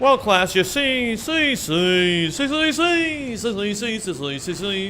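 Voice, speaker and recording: Over clear background noise, a man does a put-on character voice, high in pitch with very wide pitch swings, at a fairly slow pace. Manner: lecturing, stammering, drawn-out.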